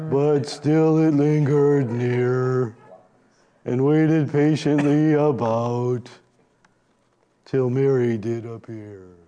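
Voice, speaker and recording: In a put-on character voice of medium pitch, a man talks at a very slow pace, leaving long, frequent pauses. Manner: slow, gloomy, droopy.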